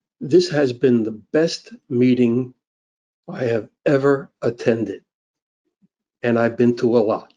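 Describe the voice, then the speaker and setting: A man's medium-pitched voice with a dark, mellow tone and ordinary pitch variation, very slow and broken by long, frequent pauses. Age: 80s+. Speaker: public commenter. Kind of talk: public comment.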